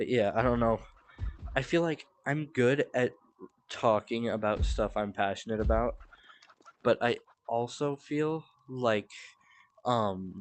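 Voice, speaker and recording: At a fairly slow pace with long, frequent pauses, a man speaks at a medium pitch with ordinary pitch variation. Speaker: gaming streamer. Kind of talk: casual live stream commentary. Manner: filler-heavy, halting.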